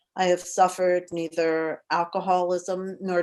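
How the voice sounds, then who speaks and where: A woman speaks with a Mid-Atlantic accent. Her pitch is medium and her pace moderate. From Philadelphia, US Mid-Atlantic. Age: 70s. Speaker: memoir author. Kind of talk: reading aloud. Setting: video call.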